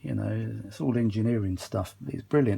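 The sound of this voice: With a fairly low pitch, vocal fry and a slightly mellow tone, a man talks at a moderate pace with ordinary pitch variation.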